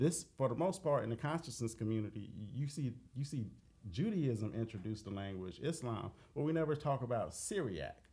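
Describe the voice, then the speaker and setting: A somewhat breathy man in an American accent, dark and mellow in tone, lively in intonation and fairly quick, on a very clean recording with a silent background. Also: medium pitch for a man. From Dayton, Ohio. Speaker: author, researcher. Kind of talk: interview.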